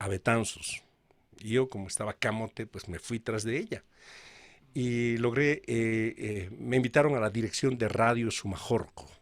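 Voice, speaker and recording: Here is a man with a normal speaking voice and a medium pitch. He talks at a fairly slow pace. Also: fairly even intonation. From Bolivia. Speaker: radio announcer. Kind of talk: interview answer.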